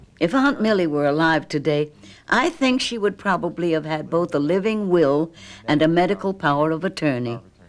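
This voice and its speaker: Lively in intonation and fairly low in pitch, a woman with an unremarkable speaking voice keeps a moderate pace. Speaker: narrator. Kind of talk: educational documentary narration.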